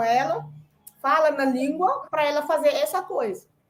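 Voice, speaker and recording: A fairly slow pace paired with lively intonation. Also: woman. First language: Senegalese language and French (speaking Portuguese). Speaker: conference panelist, immigrant parent. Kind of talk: panel discussion.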